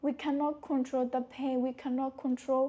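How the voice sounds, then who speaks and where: A soft-spoken woman talks in a high pitch. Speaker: motivational speaker. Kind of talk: casual talk to camera.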